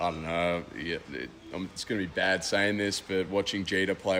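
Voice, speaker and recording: The voice has an Australian accent and a monotone, flat intonation. Noticeable background noise sits behind it. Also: man. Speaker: college baseball player. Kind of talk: radio interview.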